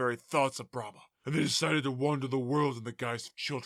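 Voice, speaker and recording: On a very clean recording with a silent background, a man does a put-on character voice at a medium pitch. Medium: audio drama. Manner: casual, matter-of-fact.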